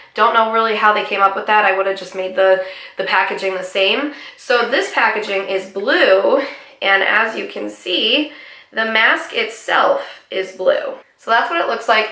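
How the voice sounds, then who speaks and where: A woman's fairly high voice with ordinary pitch variation at a moderate pace, amid noticeable background noise and audible room echo. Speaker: beauty vlogger. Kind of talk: product review. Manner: casual, conversational.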